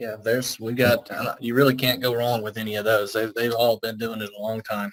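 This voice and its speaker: His intonation stays monotone and flat. The man uses a medium pitch at a fairly quick pace. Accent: strong Southern US. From Alabama. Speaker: IT consultant. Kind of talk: business video meeting.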